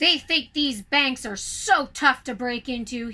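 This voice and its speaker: A woman's put-on character voice, high-pitched and growling, at a fairly slow pace with big swings in loudness. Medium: read story. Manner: smug, mocking.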